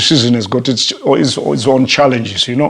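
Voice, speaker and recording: A man with a medium-pitched voice talks at a fairly quick pace. There is audible room echo and noticeable background noise. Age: 60s. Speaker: pastor. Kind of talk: sermon. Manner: halting, with fillers.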